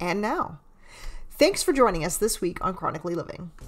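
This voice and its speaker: Set against music in the background, the voice moves at a moderate pace with very wide pitch swings. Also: woman. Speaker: psychotherapist and podcast host. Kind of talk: podcast intro and narration.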